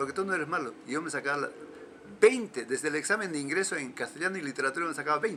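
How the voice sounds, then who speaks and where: A man with a fairly high pitch and ordinary pitch variation talks very fast amid noticeable background noise. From Peruvian Andes, Huancavelica/Junín. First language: Quechua (speaking Spanish). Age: 70s. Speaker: folk music collector and cultural promoter. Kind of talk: interview. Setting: at home. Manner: halting, many repetitions and fillers.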